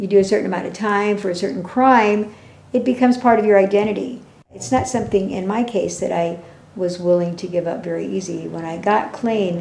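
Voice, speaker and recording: At a fairly quick pace, a woman speaks with lively intonation, medium pitch and a dark, mellow tone amid audible room echo. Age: 60s. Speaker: ex-convict. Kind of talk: interview testimony.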